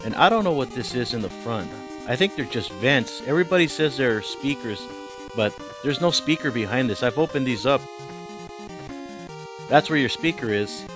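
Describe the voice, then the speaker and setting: A man's medium-pitched voice at a fairly quick pace, with very wide pitch swings, long, frequent pauses and music in the background. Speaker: video game reviewer. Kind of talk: game review talk to camera.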